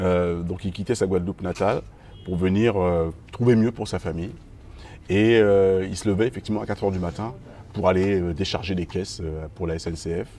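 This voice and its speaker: Very deep and low, a man's dark, mellow voice moves at a moderate pace with fairly even intonation and long, frequent pauses. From mainland France, Guadeloupean family. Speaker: musician, band frontman. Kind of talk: interview.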